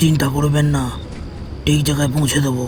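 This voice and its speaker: Over loud background noise, a cartoonish character voice moves at a fairly quick pace. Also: man, fairly high pitch for a man. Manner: calm, terse, quietly ominous.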